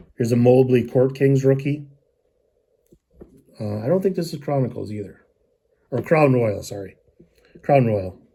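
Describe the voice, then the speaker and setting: A man speaks at a medium pitch and moderate pace with ordinary pitch variation. His voice is somewhat breathy, dark and mellow in tone. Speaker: sports card collector vlogger. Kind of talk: casual show-and-tell of purchases. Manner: hesitant, many fillers.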